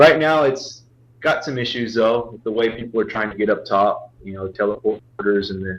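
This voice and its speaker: A man's plain, everyday voice at medium pitch, moderate pace, ordinary pitch variation and big swings in loudness. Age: 20s. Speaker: gaming clan leader. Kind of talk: casual chat.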